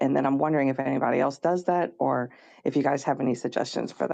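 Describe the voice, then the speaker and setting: Over a quiet background, a woman talks at a very fast pace with a dark, mellow tone and vocal fry. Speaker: podcaster. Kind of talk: live podcast critique discussion. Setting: live audio and video stream.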